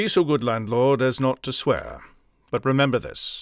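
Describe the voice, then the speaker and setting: In a very clean recording with a silent background and a dry, close sound with no echo, a man speaks at a medium pitch with ordinary pitch variation and an unremarkable speaking voice. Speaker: voice actor. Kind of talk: audiobook narration.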